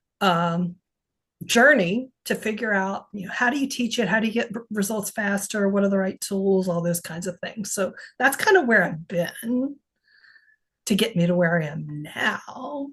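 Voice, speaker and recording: A woman's ordinary speaking voice at a medium pitch and moderate pace, with ordinary pitch variation. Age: 60s. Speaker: HRV biofeedback coach and researcher. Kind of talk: casual interview.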